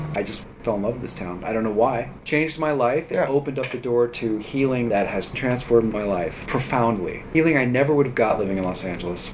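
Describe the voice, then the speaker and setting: With an American accent, a man talks at a very fast pace and medium pitch with ordinary pitch variation, hardly any pauses, noticeable background noise and audible room echo. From Redondo Beach, Southern California. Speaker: music producer. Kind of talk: casual chat.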